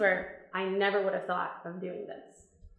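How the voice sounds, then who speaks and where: A woman speaks with an American accent, and room echo can be heard. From Virginia, US. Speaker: English teaching assistant. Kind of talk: testimony talk.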